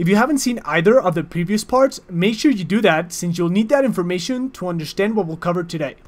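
Very fast speech plays over noticeable background noise. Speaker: chess teacher. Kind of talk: tutorial narration.

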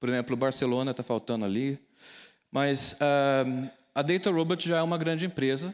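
A man talks in an ordinary speaking voice, fairly high in pitch, at a moderate pace. His loudness stays very even, his pitch varies normally, and the background is quiet. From Brazil, interior of São Paulo state (Taubaté); São Paulo, Brazil. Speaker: data scientist and tech entrepreneur; keynote speaker. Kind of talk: keynote talk. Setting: stage with audience. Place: hall. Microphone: lapel.

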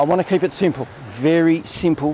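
A man talks, his pitch shifting in an ordinary way. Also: dry sound with no echo. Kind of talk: casual vlog chat. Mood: relaxed, enthusiastic. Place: beach. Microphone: phone near.

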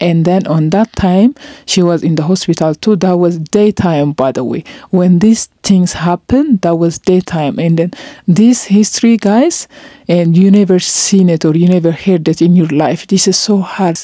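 A woman with a non-native accent and fairly low pitch speaks at a moderate pace with ordinary pitch variation. The background is quiet, and the sound is dry with no echo. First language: not English. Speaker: vlogger. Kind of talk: emotional vlog monologue. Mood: serious, sad. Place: home room. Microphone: handheld.

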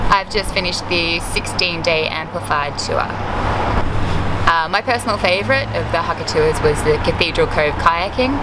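A woman talks at a moderate pace while loud background noise fills the recording. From Australia. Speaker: tour customer giving testimonial. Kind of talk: customer testimonial interview answer. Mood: calm, positive.

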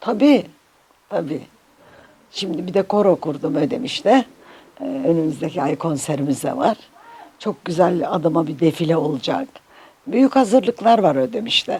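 A woman's fairly low voice at a moderate pace, with very wide pitch swings and long, frequent pauses. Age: 80s+. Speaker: Turkish folk music singer. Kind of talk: interview answer.

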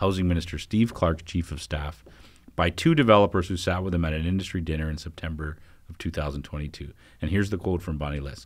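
A man speaks at a fairly quick pace in a very deep, low pitch. His intonation stays fairly even over a quiet background. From Canada, Northern Ontario. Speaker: newspaper editor and co-host. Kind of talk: casual chat. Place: studio. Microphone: studio mic.

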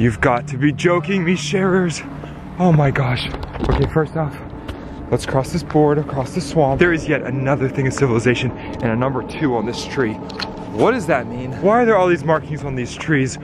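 A man talks at a moderate pace with ordinary pitch variation. The sound is dry with no echo, with noticeable background noise. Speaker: vlogger exploring woods. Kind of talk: excited casual vlog narration to viewers. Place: forest. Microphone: phone near.

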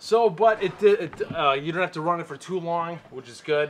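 Over light background noise, a man talks at a moderate tempo, his pitch varying in an ordinary way. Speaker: tool reviewer. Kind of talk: casual vlog chat. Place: garage. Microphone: camera far.

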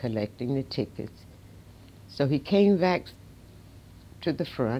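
Very deep, low pitch from a woman with an American accent, a dark, mellow tone and a moderate pace. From US South. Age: 80s+. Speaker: civil rights figure; interviewee. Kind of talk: interview storytelling.

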